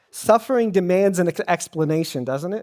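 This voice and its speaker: A man with a high pitch speaks at a moderate pace in a very clean recording with a silent background and a dry, close sound with no echo. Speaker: pastor, sermon speaker. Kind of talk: church sermon, preaching to a congregation. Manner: conversational, audience-interactive.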